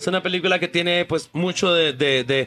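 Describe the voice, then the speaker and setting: Against noticeable background noise, a man speaks with ordinary pitch variation in a dry, close sound with no echo. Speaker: film director. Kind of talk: interview. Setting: café.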